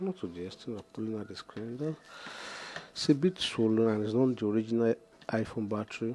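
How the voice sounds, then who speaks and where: Soft-spoken, a man talks at a medium pitch. His pace is fairly quick. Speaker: phone repair technician. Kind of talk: tutorial. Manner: halting.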